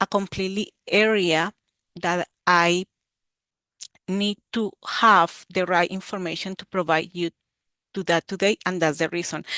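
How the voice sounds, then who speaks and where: A woman with a Colombian accent speaks fairly slowly in a bright, sharp tone with monotone, flat intonation. The sound is dry and close with no echo, over a quiet background. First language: Spanish. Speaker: university extension educator. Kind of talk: webinar presentation. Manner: halting, with filler 'eh'.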